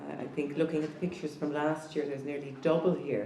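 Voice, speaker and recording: A woman with a southern Irish accent speaks in a very deep, low voice with monotone, flat intonation. Audible room echo and noticeable background noise fill the recording. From southeast Ireland. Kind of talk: talk to a conference audience. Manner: halting.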